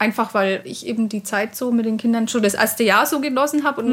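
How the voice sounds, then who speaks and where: A woman speaks in a high voice at a fairly quick pace. Her pitch varies in an ordinary way. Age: 30s. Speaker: stay-at-home mother. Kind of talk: casual chat. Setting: outdoors at a lake.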